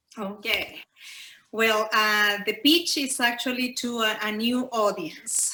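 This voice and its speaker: A woman with a Spanish accent speaks at a very slow pace, her fairly high pitch showing ordinary variation. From Chile. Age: 40s. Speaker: podcast pitcher. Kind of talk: live podcast pitch. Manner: halting, many fillers.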